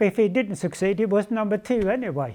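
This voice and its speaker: Recorded very cleanly against a silent background, a man with a Swedish accent speaks in a dark, mellow tone at a moderate pace. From Sweden. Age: 80s+. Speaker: retired speedway world champion. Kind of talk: interview answer.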